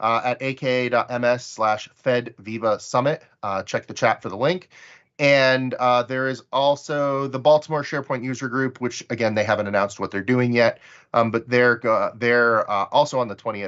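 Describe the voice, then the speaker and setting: At a moderate pace, a man of medium pitch speaks with fairly even intonation. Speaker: community call host. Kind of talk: casual chat. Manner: halting, with filler words.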